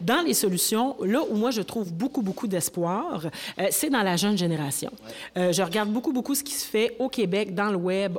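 Against noticeable background noise, a woman at medium pitch talks at a moderate pace with lively intonation. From Quebec, Rouyn-Noranda (Abitibi). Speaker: actress and writer. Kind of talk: panel discussion. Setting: stage with audience.

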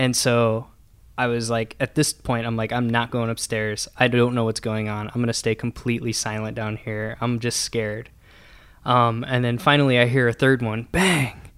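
Heard in a very clean recording with a silent background, a man with a US Midwestern accent speaks at medium pitch and a moderate pace with fairly even intonation. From Nebraska, US Midwest. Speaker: brand marketing staff. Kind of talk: personal storytelling.

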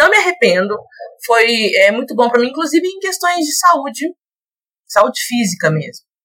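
A woman's raised, projected voice, high-pitched, bright and sharp, with very wide pitch swings, a moderate pace and long, frequent pauses. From Belo Horizonte, Minas Gerais, Brazil. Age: 20s. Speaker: Spanish teacher and model. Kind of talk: podcast interview. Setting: virtual recording.

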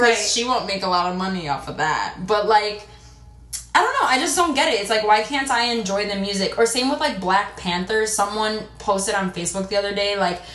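Noticeable background noise and audible room echo surround the speaker. She is a woman at medium pitch, moving at a fairly quick pace with ordinary pitch variation. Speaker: podcast co-host. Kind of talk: casual chat. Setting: in a bathtub.

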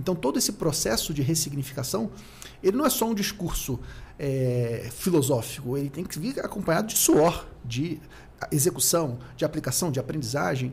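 In a normal speaking voice, a man with a fairly high pitch speaks with lively intonation. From Rio de Janeiro, Brazil. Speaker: accounting consultant and content creator. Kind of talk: casual interview chat.

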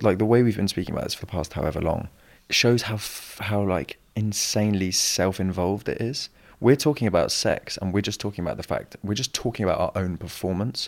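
At a fairly quick pace, a man with a plain, everyday voice shows ordinary pitch variation on a very clean recording with a silent background. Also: fairly low pitch for a man. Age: 20s. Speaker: podcast host. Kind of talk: casual chat.

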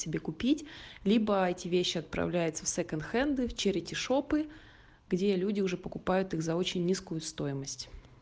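In an ordinary speaking voice, a woman talks at a moderate pace with fairly low pitch, and the recording is very clean with a silent background. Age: 20s. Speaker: podcast co-host. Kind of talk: casual chat.

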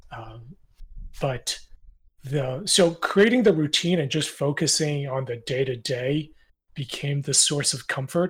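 A man speaks in a fairly high, somewhat breathy voice. His pace is fairly slow, with long, frequent pauses. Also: ordinary pitch variation. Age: 30s. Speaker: indie game developer. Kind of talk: casual interview. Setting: Discord voice call.

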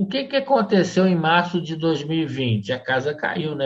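This man's voice comes across as somewhat breathy. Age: 50s. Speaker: LinkedIn influencer and sales trainer. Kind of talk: casual interview.

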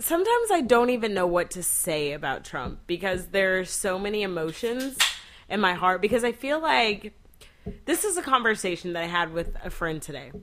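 This woman's medium-pitched voice swings very widely in pitch. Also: moderate pace. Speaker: host's wife. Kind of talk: casual chat.

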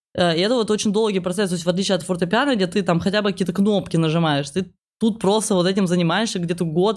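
Someone speaks at a very fast pace with very even loudness and fairly even intonation, in a very clean recording with a silent background. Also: woman, medium pitch for a woman. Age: 20s. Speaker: stand-up comedian. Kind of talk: casual chat.

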